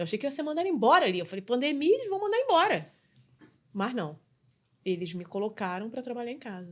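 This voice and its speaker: A woman's very fast, high-pitched speech with very wide pitch swings. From Brazil, Rio de Janeiro. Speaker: customer experience specialist and business mentor. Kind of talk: podcast interview.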